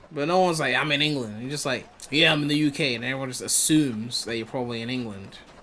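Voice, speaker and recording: A man with an American accent talks at a very fast pace in an animated tone. Noticeable background noise is audible. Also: medium pitch for a man, ordinary pitch variation. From UK, with schooling in West Africa. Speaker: gaming streamer. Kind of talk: live gameplay stream chat. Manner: casual, animated.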